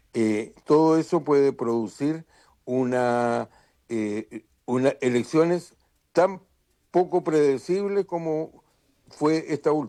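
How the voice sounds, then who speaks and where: A man's fairly high, dark and mellow voice at a very slow pace, with lively intonation and long, frequent pauses. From Chile. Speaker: political analyst. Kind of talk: radio interview.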